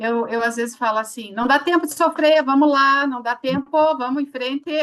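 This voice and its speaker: Her pitch is high and varies in an ordinary way. The woman keeps a moderate pace. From Curitiba, southern Brazil. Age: 50s. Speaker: psychologist, HR consultant. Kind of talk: live interview.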